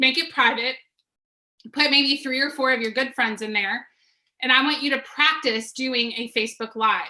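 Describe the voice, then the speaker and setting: A woman's high, raised, projected voice, bright and sharp in tone, at a moderate pace with fairly even intonation. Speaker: business coach. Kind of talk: webinar presentation. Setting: video call.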